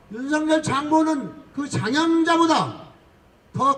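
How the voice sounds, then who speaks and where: There is noticeable background noise behind this man. His pitch is extremely high. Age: 70s. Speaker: political activist. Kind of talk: street speech. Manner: loud; animated.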